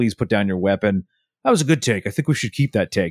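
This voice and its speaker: Putting on a robotic character voice, a man rattles along at a very fast pace with a fairly low pitch. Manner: stiff, mechanical, commanding.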